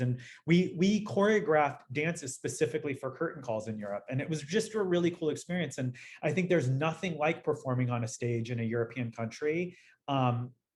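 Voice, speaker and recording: The speaker has an American accent and a somewhat breathy, animated tone. The pace is fairly quick, with ordinary pitch variation. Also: man. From Los Angeles, US. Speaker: dancer and dance educator. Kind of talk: interview conversation.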